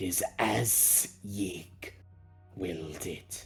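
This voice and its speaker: A man in a put-on character voice at a very slow pace, with clear music in the background. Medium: actual play. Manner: formal, measured.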